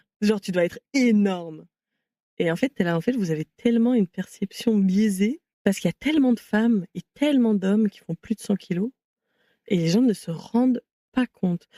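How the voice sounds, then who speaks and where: A woman at a medium pitch with a dark, mellow tone, ordinary pitch variation, a moderate pace, long, frequent pauses, big swings in loudness and a dry, close sound with no echo. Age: 20s. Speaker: activist and content creator. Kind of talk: interview conversation.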